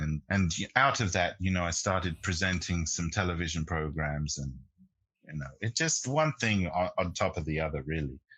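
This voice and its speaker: With a British accent, a man speaks at a moderate pace in a very deep, low pitch with a bright, sharp tone and ordinary pitch variation, against a quiet background. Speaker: jazz pianist and radio host. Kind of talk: interview. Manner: halting, many fillers.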